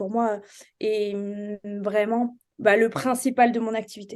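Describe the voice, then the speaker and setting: In a quiet background, a woman talks at a very slow pace with a fairly high pitch and a dark, mellow tone. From France, Charente. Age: 30s. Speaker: real estate investor. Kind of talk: interview. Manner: hesitant, many fillers.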